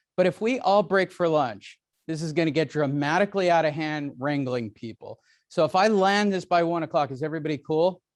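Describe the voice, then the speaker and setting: The background is quiet as a man speaks with an American accent. His pitch is high. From Southern California. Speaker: real estate seminar speaker. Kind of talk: live seminar talk. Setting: room with live audience and stream. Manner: fast.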